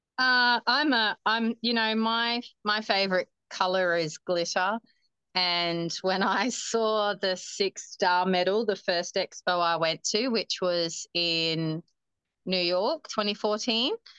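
Bright and sharp in tone, a woman speaks at a very slow pace and medium pitch with ordinary pitch variation, her loudness very even against a quiet background. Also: dry, close sound with no echo. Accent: Australian. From Northern Territory, Australia (Darwin). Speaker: marathon runner. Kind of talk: interview.

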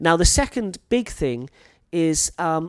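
A man with a Welsh accent speaks at a high pitch in very wide pitch swings. The recording is very clean with a silent background, its sound dry and close with no echo. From North Wales. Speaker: teacher and podcast host. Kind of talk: educational monologue podcast. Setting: teaching in Thailand.

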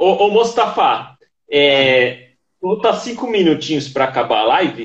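This man talks at a fairly slow pace in a high pitch. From São Paulo, Brazil. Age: 30s. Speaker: YouTuber. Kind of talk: casual interview. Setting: live stream.

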